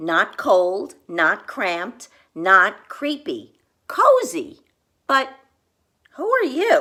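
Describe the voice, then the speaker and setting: A put-on character voice, female-sounding, high and squeaky, with very wide pitch swings. It moves at a very slow pace with long, frequent pauses. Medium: read story.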